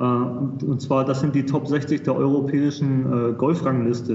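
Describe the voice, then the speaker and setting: With audible room echo and noticeable background noise, a medium-pitched man speaks at a moderate pace in a monotone, flat intonation. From Germany, Hamburg. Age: 30s. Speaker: golf tournament volunteer. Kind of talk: casual chat.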